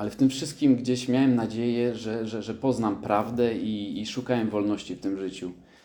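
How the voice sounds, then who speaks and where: A man's dark, mellow voice at medium pitch, flat and monotone, at a moderate pace. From southern Poland. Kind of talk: testimony. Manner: halting, hesitant with many repetitions.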